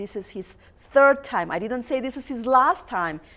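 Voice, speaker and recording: A woman with a non-native accent speaks at a moderate pace. Her tone is animated and her intonation lively. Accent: foreign. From outside the US, multilingual background. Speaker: talk show host. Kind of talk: interview talk show; motivational address. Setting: TV studio.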